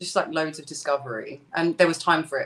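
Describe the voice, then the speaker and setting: A woman with a strong British accent talks at a moderate pace in a fairly low voice. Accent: thick British. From East London. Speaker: singer. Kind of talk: interview.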